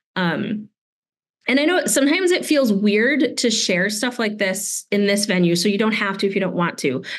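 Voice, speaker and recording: A woman with a normal speaking voice and an American accent, medium pitch, lively intonation, very even loudness and a moderate pace. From US Midwest. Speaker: science educator. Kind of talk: workshop presentation. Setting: video call.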